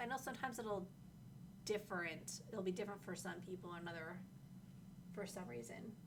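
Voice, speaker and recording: The speaker moves at a fairly quick pace with ordinary pitch variation, with noticeable background noise and audible room echo. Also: woman. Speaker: livestream host, game community manager. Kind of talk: casual livestream chat. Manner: not very loud.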